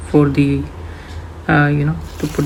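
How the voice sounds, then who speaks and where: A man speaks at a fairly quick pace, his pitch fairly high. Noticeable background noise runs throughout. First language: not English. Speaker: home gardener. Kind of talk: voice-over tutorial. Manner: hesitant, many fillers.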